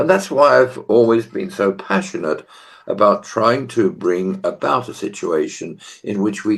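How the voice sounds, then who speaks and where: In a British accent, a man delivers his words at a moderate tempo. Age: 80s+. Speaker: business executive and university teacher. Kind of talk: podcast interview.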